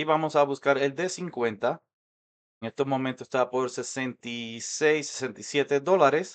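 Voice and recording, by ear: A man talks with ordinary pitch variation, keeping a moderate pace. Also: medium pitch for a man.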